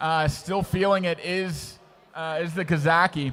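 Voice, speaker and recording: This is a man's voice. He speaks with an American accent. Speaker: sports commentator. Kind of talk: live commentary. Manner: animated.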